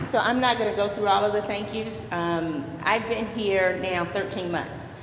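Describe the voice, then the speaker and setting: A woman with an American accent is heard through audible room echo and noticeable background noise. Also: medium pitch for a woman, ordinary pitch variation. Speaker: youth club director. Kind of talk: ceremony speech. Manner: halting.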